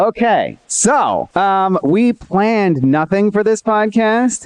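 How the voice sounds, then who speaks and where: A man speaks loudly at a high pitch and a very slow pace. The sound is dry and close, with no echo. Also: lively intonation. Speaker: podcast co-host. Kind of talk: live podcast chat. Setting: stage with audience.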